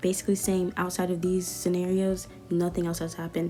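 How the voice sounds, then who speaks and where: A woman with an American accent, medium pitch, fairly quick pace, music in the background. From US South. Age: 20s. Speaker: YouTuber. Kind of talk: storytime. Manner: animated.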